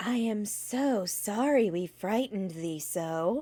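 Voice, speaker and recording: A woman's put-on character voice at medium pitch, fairly slow in pace. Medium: read story. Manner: sweet, cheerful.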